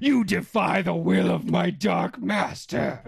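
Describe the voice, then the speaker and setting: Raspy and at a low-to-middle pitch, a put-on character voice moves at a fairly slow pace. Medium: actual play.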